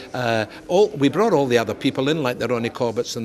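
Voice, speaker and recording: A man with a Scottish accent talks at a very fast pace. His pitch is medium, and noticeable background noise can be heard. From Scotland. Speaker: comedian. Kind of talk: interview. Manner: animated.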